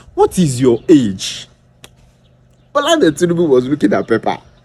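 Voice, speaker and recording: A man speaks with a Nigerian accent. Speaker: political commentator. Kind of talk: political commentary video. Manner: animated.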